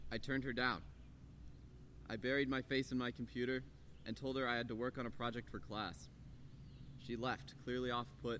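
A man with an American accent speaks at a fairly quick pace with long, frequent pauses, using a medium pitch, a bright, sharp tone, vocal fry and fairly even intonation. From US, Colorado (Boulder). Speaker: student speaker. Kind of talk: prepared talk.

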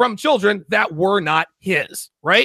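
A man with a high pitch and a bright, sharp tone uses a raised, projected voice at a moderate pace, recorded with a dry, close sound and no echo. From US military family, moved around. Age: 40s. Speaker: podcast host, guest. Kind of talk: casual chat.

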